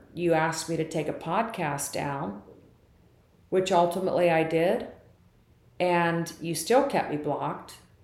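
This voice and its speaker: Audible room echo surrounds a woman who speaks fairly slowly at a fairly low pitch with ordinary pitch variation. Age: 60s. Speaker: podcaster. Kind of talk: personal monologue. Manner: animated.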